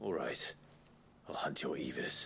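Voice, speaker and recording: A raspy, put-on character voice from a man, with clear background noise. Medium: video game. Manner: terse, dry.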